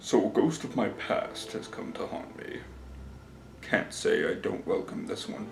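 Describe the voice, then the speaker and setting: At a moderate pace, a man performs a put-on character voice, with a slight echo and clear background noise. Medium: solo performance. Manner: formal, dignified.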